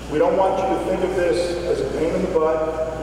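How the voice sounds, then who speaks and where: Strong room echo surrounds this man's voice, with noticeable background noise. He talks at a fairly slow pace. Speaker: speaker. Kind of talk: speech. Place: shop.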